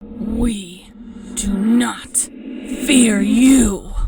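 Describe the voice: A female-sounding voice growls in a put-on character voice. Its pitch is fairly high for a woman.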